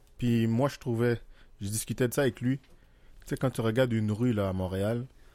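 A man with a dark, mellow tone speaks at a medium pitch. His intonation stays fairly even. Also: very clean recording, silent background. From Haiti. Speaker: podcast guest. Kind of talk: casual chat.

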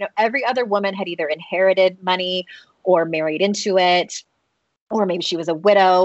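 With an American accent and a normal speaking voice, a woman talks at a fairly quick pace, medium in pitch and fairly even in intonation. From United States. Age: 40s. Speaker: author and life coach. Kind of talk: interview.

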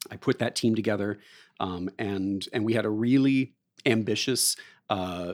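With an American accent, a man talks at a moderate pace with ordinary pitch variation, on a very clean recording with a silent background and a dry, close sound with no echo. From southeastern Ohio, rural. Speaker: actor and director. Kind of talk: interview. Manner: halting.

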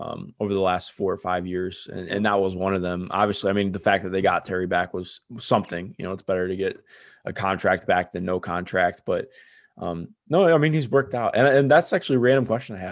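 An ordinary speaking voice from a man, fairly low in pitch and fairly quick in pace, with ordinary pitch variation over a quiet background. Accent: American. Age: 20s. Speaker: sports podcast host. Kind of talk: casual chat.

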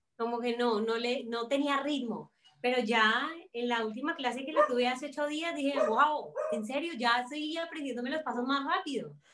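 This woman has a high-pitched voice and speaks at a moderate pace with a Cali accent. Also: ordinary pitch variation. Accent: Caleño Colombian Spanish. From Colombia, Cali. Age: 20s. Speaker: actress and fashion designer. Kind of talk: casual chat. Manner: animated.

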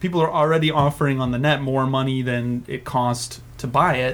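The speaker is a man with a medium pitch. He keeps to a moderate pace. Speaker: podcast host. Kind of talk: casual chat. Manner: animated.

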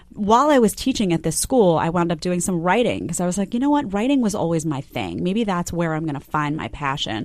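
A woman talks at a fairly quick pace with hardly any pauses. Her fairly low voice moves in very wide pitch swings. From New York, Staten Island. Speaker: TV news commentator. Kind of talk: interview.

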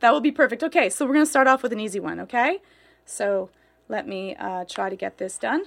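A woman speaks at a fairly quick pace with vocal fry and very wide pitch swings, on a very clean recording with a silent background. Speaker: podcast host and editor. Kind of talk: casual chat. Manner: laughs a lot.

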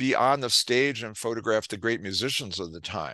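A man's bright, sharp voice with ordinary pitch variation over a quiet background. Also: dry, close sound with no echo. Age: 70s. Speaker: PR executive and author. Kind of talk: interview.

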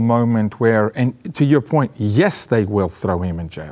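With a non-native accent, a man at medium pitch talks at a fairly slow pace in a dark, mellow tone with lively intonation. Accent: foreign. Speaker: political commentator and podcast host. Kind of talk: political commentary chat. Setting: studio. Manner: animated.

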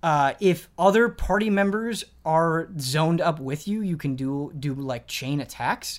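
A man's fairly high-pitched voice, a normal speaking voice, with lively intonation and hardly any pauses, on a very clean recording with a silent background. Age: 20s. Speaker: video game podcast host. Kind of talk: casual chat.

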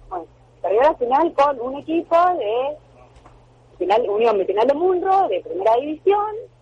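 A woman's high voice with very wide pitch swings. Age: 40s. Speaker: basketball player and sports journalist. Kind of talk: radio interview.

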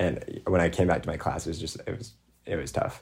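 A man with a very deep, low voice talks very fast and sounds somewhat breathy. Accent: American. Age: young. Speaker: student school board member and activist. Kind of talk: interview. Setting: remote recording.

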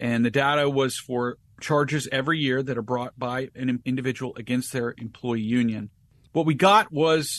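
A man speaks in an unremarkable speaking voice at a medium pitch, with ordinary pitch variation. The pace is moderate and the background quiet. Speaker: attorney and advocacy group counsel. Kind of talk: interview.

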